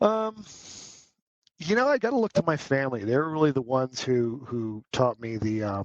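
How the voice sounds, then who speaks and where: A man's medium-pitched voice at a moderate pace, full of very wide pitch swings. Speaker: business development executive. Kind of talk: podcast interview.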